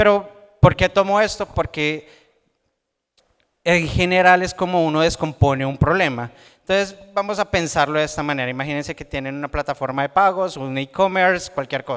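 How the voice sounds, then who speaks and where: A man talks loudly at a moderate pace, his pitch high for a man with ordinary variation. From Colombia, Bogotá. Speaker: software developer and conference speaker. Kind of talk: tech conference talk.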